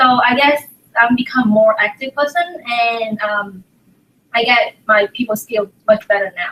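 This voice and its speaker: At a fairly slow pace, a woman speaks in a Vietnamese accent. Her fairly high voice shows ordinary pitch variation. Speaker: graduate student. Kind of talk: casual interview. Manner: halting.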